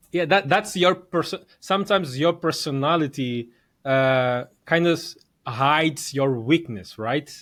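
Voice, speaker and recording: A man with a non-native accent, fairly high pitch, ordinary pitch variation and a fairly slow pace. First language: not English. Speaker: podcast host. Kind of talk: interview conversation.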